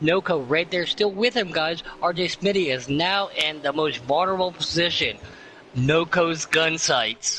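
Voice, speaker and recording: Over music in the background, a man talks in a high pitch with ordinary pitch variation. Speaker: sim racing commentator. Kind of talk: live commentary. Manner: excited, fast.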